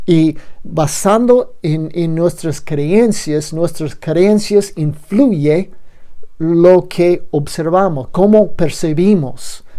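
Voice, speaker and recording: Someone with a non-native accent speaks at a very slow pace in a dark, mellow tone. The room echo is audible. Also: woman, fairly low pitch for a woman, ordinary pitch variation. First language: not Spanish (speaking Spanish). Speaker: lecturer. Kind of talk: lecture. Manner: halting, with fillers and repeats.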